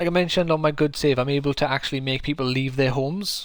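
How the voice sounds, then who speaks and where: In a South Welsh accent, a man speaks at a fairly high pitch with fairly even intonation. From South Wales. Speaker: game streamer. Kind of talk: live gameplay commentary. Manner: casual, chatty.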